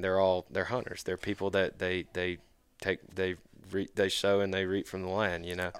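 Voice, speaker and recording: In a Southern US accent, the speaker delivers flat, monotone speech at a moderate pace on a very clean recording with a silent background. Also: man. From Mississippi (Brandon, Jackson area). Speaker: student conservation club leader. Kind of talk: casual chat.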